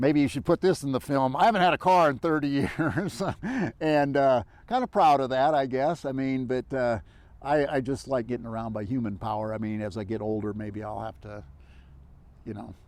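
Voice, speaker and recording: Speaking fairly quickly in an ordinary speaking voice, a man keeps a medium pitch and lively intonation. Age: 60s. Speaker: long-distance hiker and adventurer. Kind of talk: casual interview conversation. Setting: outdoor interview in West Texas. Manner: rambling with fillers and false starts.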